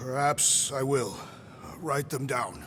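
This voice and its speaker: Over clear background noise, a man performs a raspy put-on character voice at medium pitch. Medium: video game. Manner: formal, grave, literal.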